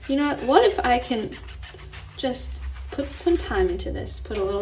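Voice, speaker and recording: Audible room echo and noticeable background noise accompany a woman speaking at a fairly quick pace. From Los Angeles, California. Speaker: lifestyle and art YouTuber. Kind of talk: casual vlog tutorial. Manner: casual, chatty.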